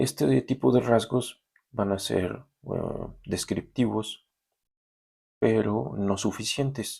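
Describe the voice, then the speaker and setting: Pitched fairly low with vocal fry, a man speaks with lively intonation and long, frequent pauses. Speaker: university lecturer. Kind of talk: recorded lecture then reading aloud a story. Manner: halting.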